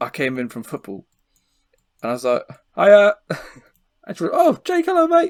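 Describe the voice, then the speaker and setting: Dry and close with no echo, a man's voice carries an English accent. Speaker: podcast co-host. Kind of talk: casual chat. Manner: animated.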